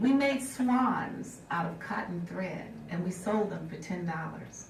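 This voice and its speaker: Over noticeable background noise, a woman speaks very slowly in a warm tone with lively intonation. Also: medium pitch for a woman. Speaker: motivational keynote speaker. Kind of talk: keynote storytelling to an audience. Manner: warm, conversational storytelling.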